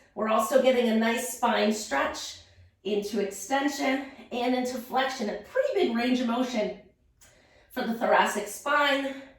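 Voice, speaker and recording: A woman with a high-pitched voice speaks at a fairly slow pace with ordinary pitch variation, over noticeable background noise and audible room echo. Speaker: pilates instructor. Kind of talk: guided workout instruction.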